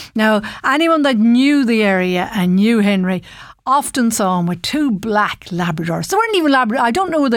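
A woman speaks at a moderate pace in a fairly high pitch with very wide pitch swings. Her loudness is very even, and the very clean recording has a silent background. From Ireland, Ballinasloe, County Galway. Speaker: radio presenter. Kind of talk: personal storytelling. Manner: casual, conversational.

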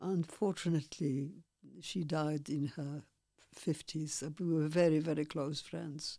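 A woman's very deep, low voice with a Polish accent, dark and mellow in tone, fairly slow, with fairly even intonation. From Poland. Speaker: Holocaust survivor and former dancer. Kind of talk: testimony. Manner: halting.

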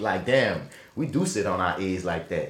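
A man with a New Orleans accent talks with vocal fry. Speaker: podcast host and actor. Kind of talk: casual chat. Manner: fast talker.

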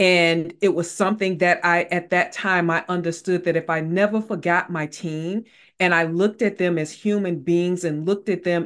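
A woman speaks in an ordinary speaking voice at a moderate pace, fairly low in pitch with ordinary pitch variation. The recording is very clean with a silent background. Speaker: leadership and mental wellness expert and author. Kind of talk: interview conversation.

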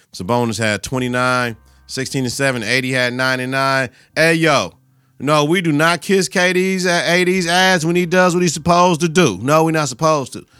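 Music plays in the background as a man speaks in an animated tone with lively intonation. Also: fairly high pitch for a man, fairly quick pace. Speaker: sports podcast host. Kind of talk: casual solo sports talk.

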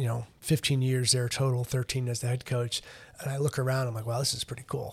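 The intonation stays fairly even. The voice is somewhat breathy. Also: man. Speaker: college lacrosse head coach. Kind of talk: casual interview. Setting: studio. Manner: halting, many fillers and repetitions.

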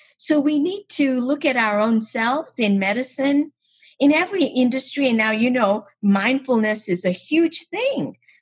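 A woman's high-pitched voice with very even loudness, lively intonation and a moderate pace. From Kenya. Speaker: rheumatologist and author. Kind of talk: interview.

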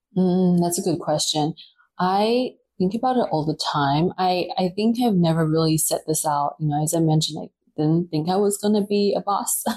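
Her medium pitch paired with a dark, mellow tone, the woman sounds somewhat breathy. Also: ordinary pitch variation, moderate pace. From Taiwan, New Zealand and Australia. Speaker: publicist. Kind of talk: casual chat. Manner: hesitant with fillers.

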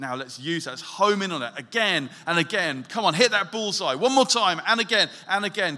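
A man's raised, projected voice, high in pitch, with lively intonation at a moderate pace. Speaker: church elder and preacher. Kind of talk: sermon. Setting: church with congregation. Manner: conversational, hesitant with filler words.

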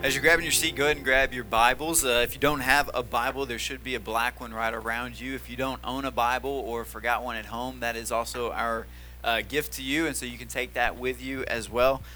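A man with a Tennessee accent, talking at a fairly quick pace with hardly any pauses. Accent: Southern US (Tennessee). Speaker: pastor. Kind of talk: sermon. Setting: church.

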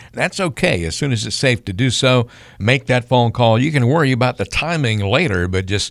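A man talks fairly quickly at a medium pitch with ordinary pitch variation, in an ordinary speaking voice. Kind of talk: radio announcer call-to-action: repeating the phone number, urging listeners to act now.

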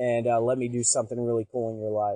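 The voice has a dark, mellow tone and monotone, flat intonation at a very fast pace. The sound is dry and close, with no echo. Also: man. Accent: Arkansas. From US South, Pine Bluff, Arkansas. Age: 20s. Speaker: youth pastor. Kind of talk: testimony.

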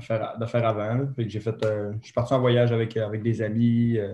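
Dark, mellow tone in a Saguenay accent, somewhat breathy, with monotone, flat intonation. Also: man. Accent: Quebec French (Saguenay). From Quebec, Saguenay. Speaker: retired snowboard cross athlete. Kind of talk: interview.

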